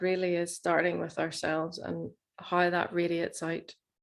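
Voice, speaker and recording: In a Northern Irish accent, a woman with a fairly low pitch speaks with monotone, flat intonation. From Northern Ireland. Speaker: plant medicine facilitator. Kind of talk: webinar talk.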